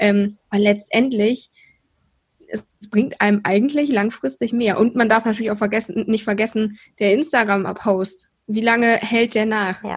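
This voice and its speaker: Somewhat breathy and fairly high-pitched, a woman speaks with fairly even intonation. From Rhineland, Germany. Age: 20s. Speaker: PR consultant and mentor. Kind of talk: podcast interview.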